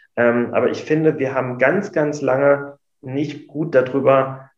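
With audible room echo, a man talks at a medium pitch using fairly even intonation. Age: 30s. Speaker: emergency doctor and union official. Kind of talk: interview.

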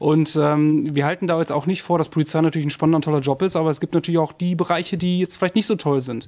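A man's fairly high-pitched voice at a very fast pace, with fairly even intonation. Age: 30s. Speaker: police officer and recruiter. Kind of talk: casual chat.

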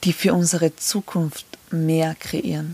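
A woman speaks at a fairly slow pace and fairly low pitch, somewhat breathy, with fairly even intonation in a dry, close sound with no echo. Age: 30s. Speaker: podcast host. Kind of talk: personal monologue.

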